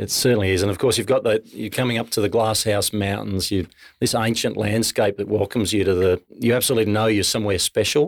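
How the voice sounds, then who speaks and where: A man's fairly low voice with fairly even intonation at a very fast pace, on a very clean recording with a silent background. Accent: Australian. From Australia. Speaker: distillery co-founder. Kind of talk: casual interview.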